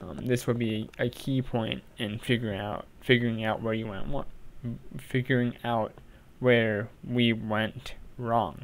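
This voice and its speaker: Fairly even intonation and a fairly slow pace from a man at a medium pitch. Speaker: engineering tutor. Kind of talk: tutorial. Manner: halting, self-correcting.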